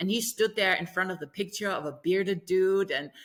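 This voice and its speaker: A very clean recording with a silent background, a bright, sharp tone, an animated tone and a moderate pace. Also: woman. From Germany. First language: German. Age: 60s. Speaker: author, opera singer and voice-healing teacher. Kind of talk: podcast interview, telling her life story.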